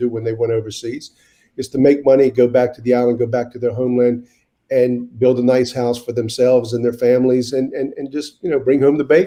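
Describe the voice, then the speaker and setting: With a North Carolina accent, a man talks at a very fast pace in a dark, mellow tone. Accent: Southern US (North Carolina). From US South (Wilmington, North Carolina). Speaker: mayor. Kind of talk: interview. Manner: halting, with many repeated words.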